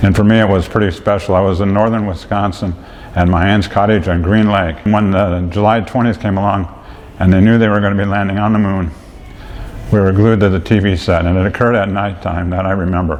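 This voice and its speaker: A man speaks in a monotone, flat intonation. Audible room echo and noticeable background noise surround his voice. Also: fairly low pitch for a man. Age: 60s. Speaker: senior center member. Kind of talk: casual reminiscence.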